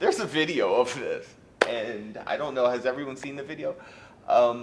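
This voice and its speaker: Noticeable background noise runs through the clip. A man's delivery holds a moderate pace. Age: 40s. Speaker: fired teacher appealing dismissal. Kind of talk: grievance hearing testimony. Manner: loud; halting, repetitive.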